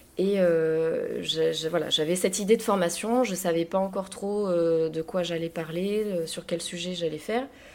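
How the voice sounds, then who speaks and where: A woman's fairly low voice at a moderate pace, with hardly any pauses and fairly even intonation, over noticeable background noise. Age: 30s. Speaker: interior decorator. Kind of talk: interview. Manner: hesitant, many fillers.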